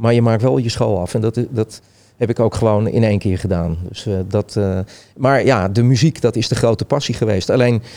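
A man's dark, mellow voice of medium pitch, with ordinary pitch variation and a moderate pace. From Netherlands, Hilversum. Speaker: festival designer and DJ. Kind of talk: casual interview chat.

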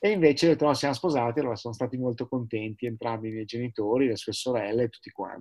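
At a very fast pace with hardly any pauses, a man speaks at a medium pitch with ordinary pitch variation and big swings in loudness, in a dry, close sound with no echo. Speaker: sailor and entrepreneur, paraplegic wheelchair user. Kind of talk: interview.

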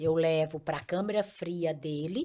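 Against a very clean recording with a silent background, a woman speaks at a very slow pace with ordinary pitch variation. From Paraíba, Brazil (Picuí). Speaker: entrepreneur, ice cream company owner. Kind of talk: interview.

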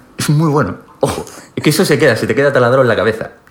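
A man talks at a fairly quick pace in a fairly high pitch. Noticeable background noise runs behind him. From Spain, Galicia (Pontevedra). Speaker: podcast guest. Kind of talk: casual chat.

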